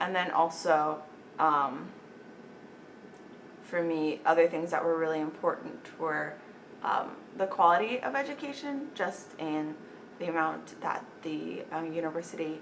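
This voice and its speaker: Against noticeable background noise, a woman speaks at a fairly slow pace with a fairly low pitch, ordinary pitch variation and long, frequent pauses. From Las Cruces, New Mexico. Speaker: college senior, future medical student. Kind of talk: interview answer.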